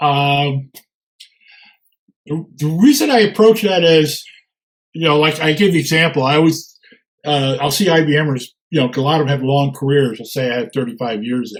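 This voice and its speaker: A somewhat breathy man's voice, fairly high in pitch, at a moderate pace. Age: 70s. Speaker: retired operations professional and presenter. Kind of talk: webinar Q&A. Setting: webinar. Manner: halting.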